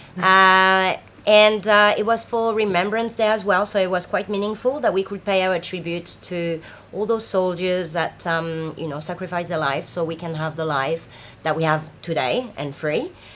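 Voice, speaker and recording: A woman talks with a French accent at a medium pitch. Her pace is moderate and her pitch variation ordinary. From France. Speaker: festival founder. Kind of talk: interview. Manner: hesitant, many fillers.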